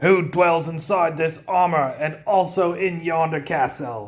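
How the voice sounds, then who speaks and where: A fairly slow, high-pitched put-on character voice from a man. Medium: read story. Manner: brash, gruff.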